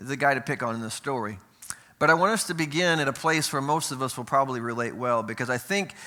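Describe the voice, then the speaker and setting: This man has an ordinary speaking voice with ordinary pitch variation. He talks at a fairly quick pace. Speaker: preacher. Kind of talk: sermon.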